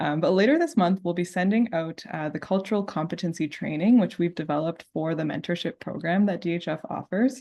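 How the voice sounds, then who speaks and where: With a plain, everyday voice, a woman talks at a fairly quick pace and a fairly low pitch, with ordinary pitch variation. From Canada. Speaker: diabetes committee co-host. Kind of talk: online event presentation.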